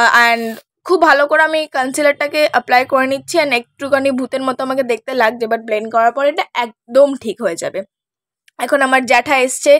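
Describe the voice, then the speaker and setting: A woman's high-pitched voice with ordinary pitch variation, dry and close with no echo, on a very clean recording over a silent background. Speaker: beauty vlogger. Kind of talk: makeup tutorial chat. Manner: chatty.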